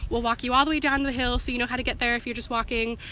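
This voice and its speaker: A woman with an American accent speaks at a high pitch. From US Pacific Northwest. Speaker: student union representative. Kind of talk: live-stream Q&A. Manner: fast; casual, filler-heavy.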